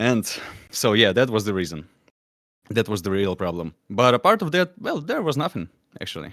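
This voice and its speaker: In a non-native accent, a man of medium pitch speaks with very wide pitch swings in a dry, close sound with no echo. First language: not English. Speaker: musician, band songwriter. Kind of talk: panel discussion. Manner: halting, many fillers.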